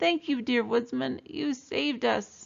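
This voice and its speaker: Someone talks in a put-on character voice at a fairly slow pace. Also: woman. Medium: read story.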